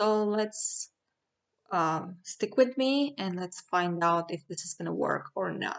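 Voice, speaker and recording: The speech comes at a very slow pace with ordinary pitch variation. It carries a strong Armenian accent. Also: woman, medium pitch for a woman. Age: 40s. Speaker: product reviewer. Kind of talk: product review. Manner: halting, with fillers.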